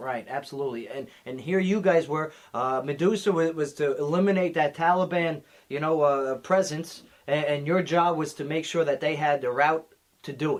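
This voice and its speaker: Moderately paced speech from a man at a fairly high pitch. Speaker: radio show host, US Army sergeant. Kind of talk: radio interview host. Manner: conversational, enthusiastic.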